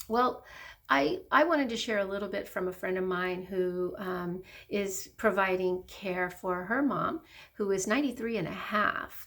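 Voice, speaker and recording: A woman speaks at a fairly slow pace with a medium pitch. She has an ordinary speaking voice with ordinary pitch variation. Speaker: hospice social worker. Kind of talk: casual talk to camera.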